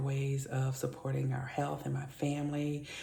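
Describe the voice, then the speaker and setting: A woman talks at a moderate pace with audible room echo and noticeable background noise. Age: 50s. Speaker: lifestyle vlogger. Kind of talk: casual vlog monologue. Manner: speaking low; halting.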